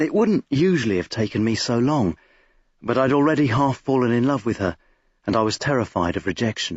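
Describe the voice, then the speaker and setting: Moving at a fairly quick pace, a man speaks with very wide pitch swings. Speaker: actor. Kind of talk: audiobook narration.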